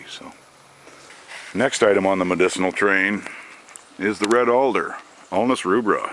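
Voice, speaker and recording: A man speaks in a relaxed tone at a moderate pace against noticeable background noise. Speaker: forager. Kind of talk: casual talk to camera. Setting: outdoors. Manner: relaxed, hesitant.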